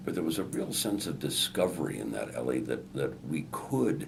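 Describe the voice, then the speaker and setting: A man's voice with ordinary pitch variation, audible room echo and noticeable background noise. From Chicago, US Midwest. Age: 60s. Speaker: newspaper columnist and radio host. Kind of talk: interview.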